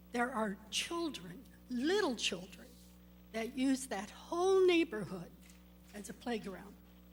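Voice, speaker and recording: In a room with audible echo, a woman with a high pitch speaks at a fairly slow pace, her pitch swinging very widely between long, frequent pauses. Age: 70s. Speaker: public commenter, resident. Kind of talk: public comment at council meeting. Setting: city council meeting.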